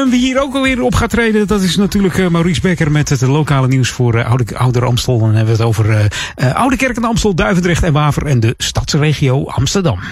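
A man speaks in an upbeat, warm tone with a fairly high pitch. His pitch swings very widely. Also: fairly quick pace, very even loudness. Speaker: radio host. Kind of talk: radio dj patter. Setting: radio studio. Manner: chatty and relaxed, easy-going; upbeat with warm festive cheer.

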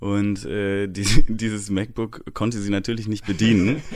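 A man talks at a moderate pace in a plain, everyday voice. His pitch is fairly low and his intonation fairly even. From Aachen, Germany, Dutch-German family. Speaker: DJ and music producer. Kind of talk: interview.

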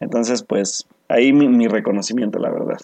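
A man talks at a fairly quick pace in an unremarkable speaking voice. His pitch is medium. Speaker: podcast co-host. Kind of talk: casual chat.

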